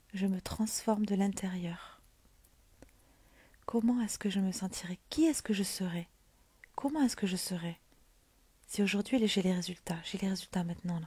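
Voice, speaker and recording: A soft-spoken woman talks at a fairly slow pace with long, frequent pauses and big swings in loudness. Her medium-pitched voice is somewhat breathy and dark, mellow in tone, with ordinary pitch variation. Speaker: mindset coach. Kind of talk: motivational livestream talk. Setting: livestream at home.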